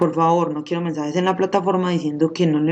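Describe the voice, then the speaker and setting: Talking at a very fast pace, a woman uses a fairly low pitch and fairly even intonation. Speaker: school science teacher. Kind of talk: recorded video lesson.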